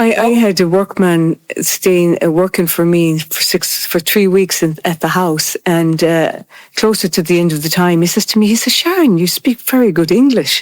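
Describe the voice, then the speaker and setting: In a dry, close sound with no echo, a woman with a fairly low voice speaks at a moderate pace with ordinary pitch variation and very even loudness. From Ireland. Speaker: interviewee on race in Ireland. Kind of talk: group conversation.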